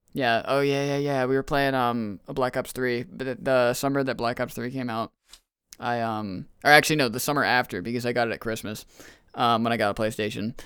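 A man talks in a plain, everyday voice at a fairly quick pace with fairly even intonation. The recording is very clean, with a silent background. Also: medium pitch for a man. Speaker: podcast guest and maker of dice. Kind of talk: casual chat. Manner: casual, slangy.

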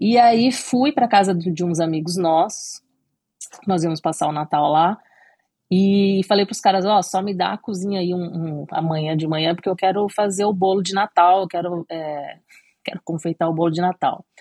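A woman with an ordinary speaking voice, medium pitch, moderate pace and ordinary pitch variation. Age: 30s. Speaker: cake designer. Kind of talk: interview.

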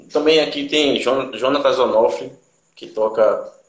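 Audible room echo surrounds a man's voice. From Brazil, Pernambuco (Igarassu area). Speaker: musician. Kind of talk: interview. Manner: halting.

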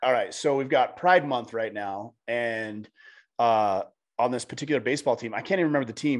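Over a quiet background, a man with an American accent uses an ordinary speaking voice, medium pitch and ordinary pitch variation at a fairly quick pace. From Southern California. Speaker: men's podcast host. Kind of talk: casual interview conversation.

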